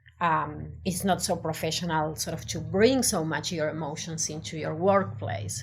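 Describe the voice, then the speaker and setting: With an Argentine accent and vocal fry, a woman with a very deep, low pitch talks at a moderate pace with very wide pitch swings and hardly any pauses, in audible room echo. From Argentina. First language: Spanish. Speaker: designer. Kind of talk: interview. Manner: halting.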